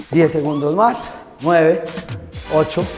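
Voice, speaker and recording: A man at a very slow pace over clear background music. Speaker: fitness instructor. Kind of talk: workout coaching cues.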